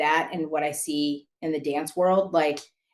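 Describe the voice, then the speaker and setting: Moderately paced speech from a woman in an American accent, pitched fairly low. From California (San Diego). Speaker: former color guard performer and judge. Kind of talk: interview. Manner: animated.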